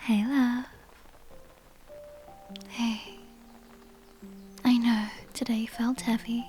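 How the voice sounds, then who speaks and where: A soft-spoken woman's fairly high voice, gentle and soothing in tone, flat and monotone, at a very slow pace with long, frequent pauses, over music in the background. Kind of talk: girlfriend roleplay comfort ASMR. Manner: soft-spoken, gentle; slow, soothing.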